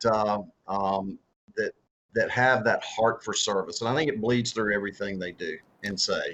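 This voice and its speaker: A man speaks with a strong Southern US accent. His pitch is medium. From US South. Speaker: author and former political candidate. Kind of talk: interview. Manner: halting, many repeated words and fillers.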